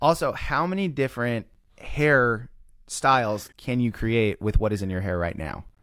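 Speaking in an American accent, a man uses an unremarkable speaking voice at medium pitch. His intonation is lively and his pace moderate. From US Midwest, Kansas City. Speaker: DJ company owner. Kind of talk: casual chat.

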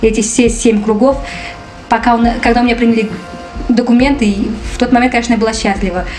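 A woman speaks at a fairly high pitch with fairly even intonation. Music plays in the background, and room echo is audible. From Afghanistan, raised in Moscow from age 3-4. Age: 40s. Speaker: refugee. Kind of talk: interview testimony.

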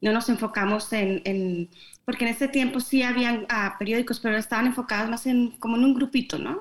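A woman talks at a fairly quick pace in a plain, everyday voice, her pitch fairly high. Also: ordinary pitch variation. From Colombia, Bogotá. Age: 50s. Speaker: newspaper founder. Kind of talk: interview. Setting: remote video call.

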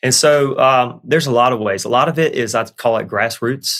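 The recording is very clean, with a silent background. A man talks with a Southern US accent. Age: 30s. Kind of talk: casual chat.

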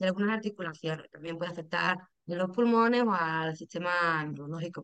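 A woman's plain, everyday voice, with ordinary pitch variation, proceeds at a moderate pace. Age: 30s. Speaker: patient, lab technician. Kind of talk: interview, personal testimony.

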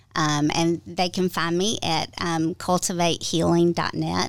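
A woman's fairly low, fairly evenly intoned voice in a Southern US accent, at a fairly slow pace, on a very clean recording with a silent background. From US South, Georgia. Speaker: trauma therapist. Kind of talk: interview. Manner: hesitant, many fillers.

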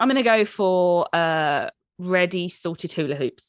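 A woman speaks with a British accent at a medium pitch. The recording is very clean, with a silent background and a dry, close sound with no echo. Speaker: dog trainer and podcast co-host. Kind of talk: casual chat. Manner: loud.

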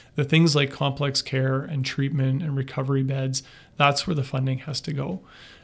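Somewhat breathy and flat in a monotone intonation, the voice moves at a moderate pace with a Western Canadian accent. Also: man, fairly high pitch for a man. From northern British Columbia, Canada. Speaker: city manager. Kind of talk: interview.

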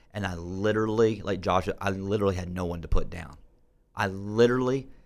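This plain, everyday voice moves along at a fairly quick pace. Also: man. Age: 40s. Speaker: recovery radio host. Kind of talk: casual chat.

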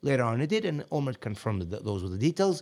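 A man with an Israeli accent at a very fast pace, on a very clean recording with a silent background. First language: Hebrew. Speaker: podcast guest, friend of host. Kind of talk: casual chat.

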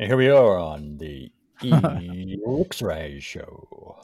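In a put-on character voice, a man speaks very slowly at a fairly low pitch with very wide pitch swings. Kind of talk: polished, broadcast style.

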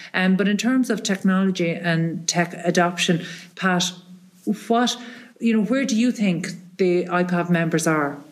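A woman with an Irish accent speaks at medium pitch with ordinary pitch variation and very even loudness. Noticeable background noise is present. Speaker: radio host. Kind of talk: interview. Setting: on location after a conference, echoey room.

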